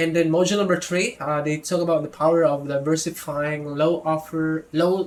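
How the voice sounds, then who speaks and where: A man speaks with a non-native accent. His pitch sits fairly high. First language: not English. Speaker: product reviewer. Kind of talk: product review tutorial. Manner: hesitant, self-correcting.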